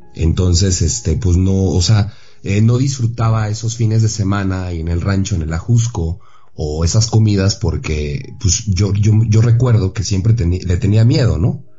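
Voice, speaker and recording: The speaker talks at a fairly slow pace. Background noise is noticeable. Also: man, fairly low pitch for a man, ordinary pitch variation. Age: 30s. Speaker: actor, son of a film star. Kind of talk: radio interview.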